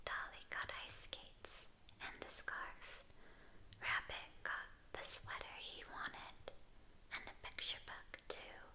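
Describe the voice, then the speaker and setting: A woman whispers in a gentle tone at a very slow pace. She leaves long, frequent pauses. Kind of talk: ASMR picture book reading. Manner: soft-spoken, gentle.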